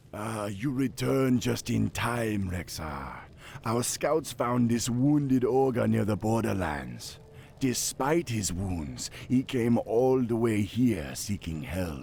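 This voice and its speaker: Very slow delivery from a man in a put-on character voice of medium pitch, with clear background noise. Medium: video game. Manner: island dialect grammar.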